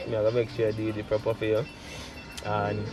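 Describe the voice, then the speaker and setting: A man speaks at a moderate pace in a fairly low pitch. Music plays in the background. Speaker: charcoal portrait artist. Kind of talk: casual talk to camera while drawing.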